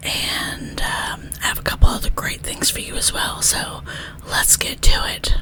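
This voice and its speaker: Whispering at a fairly slow pace comes through noticeable background noise. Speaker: zine channel host. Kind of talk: casual vlog with ASMR whispering.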